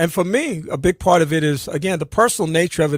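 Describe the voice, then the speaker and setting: A man with an unremarkable speaking voice talks at a fairly quick pace with ordinary pitch variation, the sound dry and close with no echo. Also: very clean recording, silent background. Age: 60s. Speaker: radio talk show host. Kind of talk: roundtable discussion.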